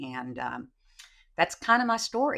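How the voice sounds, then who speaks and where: A woman's bright, sharp tone with a Texan accent, at a moderate pace, on a very clean recording with a silent background. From Texas, Sherman. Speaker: trial lawyer. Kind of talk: casual chat.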